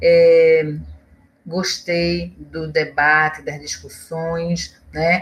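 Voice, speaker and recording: Somewhat breathy, a woman speaks at a fairly low pitch. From Pernambuco, Brazil (Olinda). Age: 50s. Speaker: historian and professor. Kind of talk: interview.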